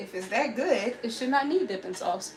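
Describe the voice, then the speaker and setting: At a moderate pace, a woman with a medium pitch speaks with very wide pitch swings, amid noticeable background noise and audible room echo. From Alabama. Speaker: lifestyle livestreamer. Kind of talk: casual livestream chat while cooking. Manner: chatty, repeats phrases.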